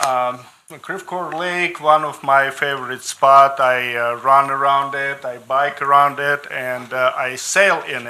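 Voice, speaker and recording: Against noticeable background noise, a man with fairly high pitch speaks at a fairly slow pace. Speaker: public commenter, sailor. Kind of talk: public hearing testimony. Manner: short sentences, halting.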